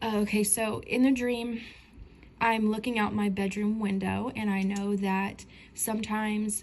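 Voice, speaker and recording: A woman speaks in an American accent, her voice somewhat breathy. Audible room echo surrounds it. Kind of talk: casual dream testimony. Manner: hesitant, many fillers.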